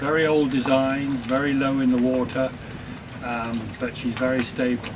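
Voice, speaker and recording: With an English accent, a man talks in a flat monotone, with audible room echo and noticeable background noise. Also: medium pitch for a man, moderate pace. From England. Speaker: retired sailor living aboard. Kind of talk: interview. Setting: aboard their sailboat.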